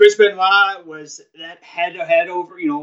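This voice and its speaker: At a fairly slow pace, a man with an American accent speaks in a high pitch with fairly even intonation. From New York. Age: 30s. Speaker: wrestling podcaster. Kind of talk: casual chat. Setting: live stream.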